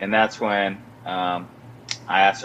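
Speaking at a moderate pace, a man can be heard with noticeable background noise around him. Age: 20s. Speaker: former show regular, now a father. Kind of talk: casual chat. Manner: animated.

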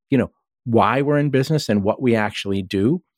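In an American accent, a man with an unremarkable speaking voice talks at a fairly quick pace with ordinary pitch variation, in a very clean recording with a silent background and a dry, close sound with no echo. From Massachusetts, US. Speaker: tech journalist and author. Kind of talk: interview.

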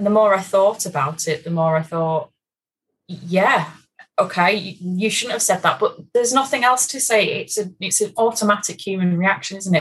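An ordinary speaking voice moves at a moderate pace. Its pitch variation is ordinary. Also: woman, medium pitch for a woman. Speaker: guest, course attendee after pregnancy loss. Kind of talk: casual chat.

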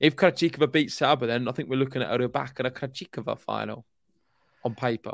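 With vocal fry and medium pitch, a man races along at a very fast pace with ordinary pitch variation, recorded dry and close with no echo on a very clean recording with a silent background. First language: not English. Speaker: tennis podcast co-host. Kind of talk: casual chat.

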